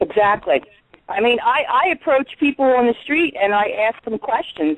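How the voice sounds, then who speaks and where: With an American accent, a woman talks at a moderate pace in a fairly high pitch. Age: 60s. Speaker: caller. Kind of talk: call-in talk show discussion.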